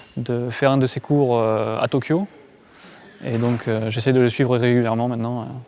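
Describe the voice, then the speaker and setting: Noticeable background noise sits behind a man talking at a moderate pace. His intonation is fairly even, with long, frequent pauses. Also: medium pitch for a man. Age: 20s. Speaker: karate practitioner. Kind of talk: interview. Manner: halting, many hesitations.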